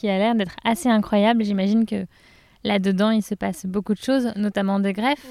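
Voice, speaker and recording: A woman's fairly high voice with a dark, mellow tone, ordinary pitch variation and a moderate pace, dry and close with no echo, in a very clean recording with a silent background. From France, Touraine. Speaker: podcast host. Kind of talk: interview. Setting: outdoors in a garden.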